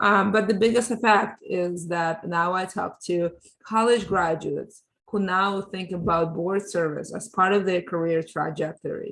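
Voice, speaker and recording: A woman talks at a moderate pace with a medium pitch and fairly even intonation. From Ukraine, moved to US at thirteen. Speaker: board diversity advocate. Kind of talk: interview. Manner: halting, repeats words.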